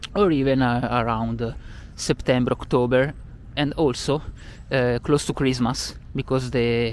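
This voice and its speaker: Speaking with an Italian accent, a man at medium pitch keeps a fairly slow pace and fairly even intonation. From Italy, Milan. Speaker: tour guide. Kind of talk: travel vlog. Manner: hesitant, many filler sounds.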